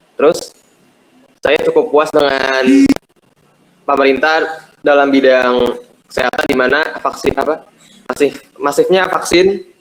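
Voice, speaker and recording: A man with a fairly high pitch talks at a fairly slow pace, leaving long, frequent pauses and holding very even loudness. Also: ordinary pitch variation. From Jakarta. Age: young. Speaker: university student. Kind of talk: class self-introduction.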